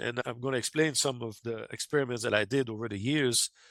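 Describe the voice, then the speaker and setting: A man talks at a very fast pace with a French Canadian accent. The recording is very clean, with a silent background. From Quebec, Canada. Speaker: amateur radio operator and UFO contact researcher. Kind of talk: podcast interview. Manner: halting, with frequent self-corrections and fillers.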